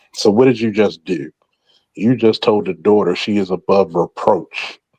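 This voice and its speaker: A man with an American accent and a dark, mellow tone speaks at a moderate pace with ordinary pitch variation, in a dry, close sound with no echo. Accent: Baltimore accent, stronger when drinking. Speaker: former police officer, talk show host. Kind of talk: casual chat, group discussion. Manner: animated, emphatic.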